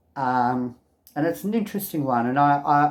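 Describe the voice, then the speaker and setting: A man talks with an Australian accent at a fairly high pitch. His pitch varies in an ordinary way. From Australia, Melbourne. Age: 60s. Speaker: video blogger. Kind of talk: personal testimony to camera. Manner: casual, hesitant with many ums.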